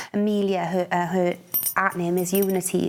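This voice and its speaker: A woman speaks with a Welsh accent. Her intonation is flat and monotone. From Wales. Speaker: poet. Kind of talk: radio interview. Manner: halting.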